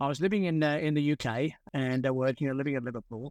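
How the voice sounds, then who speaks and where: Recorded very cleanly with a silent background and a dry, close sound with no echo, a man speaks with an Australian accent. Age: 70s. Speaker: sports medicine doctor. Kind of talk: interview. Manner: halting, many fillers.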